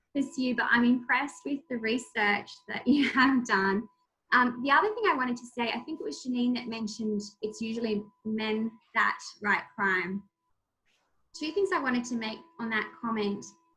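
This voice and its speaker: This woman has a high voice and an Australian accent. Her pitch varies in an ordinary way. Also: moderate pace. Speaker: crime journalist and debut novelist. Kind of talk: author talk, answering audience.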